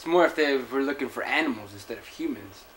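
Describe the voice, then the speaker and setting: A fairly quick American-accented voice over noticeable background noise. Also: man. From Texas, Laredo. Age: 20s. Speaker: interviewee. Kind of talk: interview testimony.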